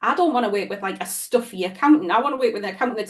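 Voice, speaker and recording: A woman speaks at a high pitch. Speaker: business strategist. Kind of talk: podcast interview. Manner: casual, chatty.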